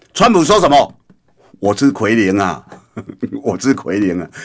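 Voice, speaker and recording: A man at a medium pitch with very wide pitch swings, a fairly quick pace and a quiet background. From Taiwan. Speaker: radio political commentator. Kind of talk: radio commentary monologue; radio commentary. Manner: animated; frequent fillers. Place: studio. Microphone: studio mic.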